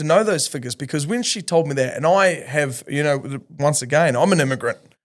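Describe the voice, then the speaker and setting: A man in a New Zealand accent, fairly high-pitched, fairly quick, with ordinary pitch variation. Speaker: podcast host. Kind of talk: casual chat.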